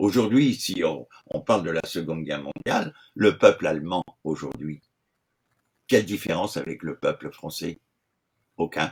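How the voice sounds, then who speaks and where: With very deep, low pitch and very wide pitch swings, a man speaks at a fairly slow pace, stopping for long pauses often. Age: 70s. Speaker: retired gendarme. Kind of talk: interview.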